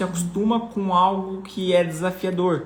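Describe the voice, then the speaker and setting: Audible room echo surrounds a man speaking fairly slowly at a high pitch. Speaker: personal finance coach. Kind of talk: live online class. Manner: animated.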